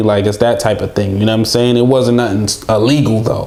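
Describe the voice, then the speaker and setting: A man with a New York accent speaks at a medium pitch with fairly even intonation. Audible room echo and noticeable background noise accompany him. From Brooklyn, New York (Haitian family). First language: Haitian Creole. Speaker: podcast guest. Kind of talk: casual chat. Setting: studio.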